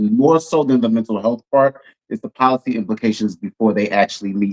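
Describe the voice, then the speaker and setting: Speaking at a moderate pace, a man uses a plain, everyday voice at medium pitch. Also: dry, close sound with no echo. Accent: American. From Texas, Houston. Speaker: policy consultant, Navy veteran. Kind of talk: casual chat.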